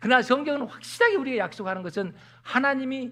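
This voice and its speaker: A man is speaking. The background is quiet. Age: 60s. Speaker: pastor. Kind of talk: sermon.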